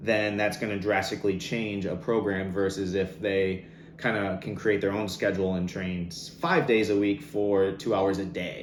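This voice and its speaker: Speaking at a moderate pace with hardly any pauses, a man uses a fairly low pitch and ordinary pitch variation, with audible room echo around him. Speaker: fitness coach. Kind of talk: online masterclass. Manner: animated.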